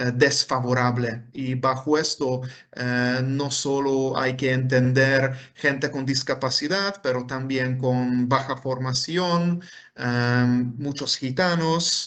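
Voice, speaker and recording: A man with a Hungarian accent, at a very slow pace. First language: Hungarian (speaking Spanish). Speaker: professor. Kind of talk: lecture. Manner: halting, many fillers.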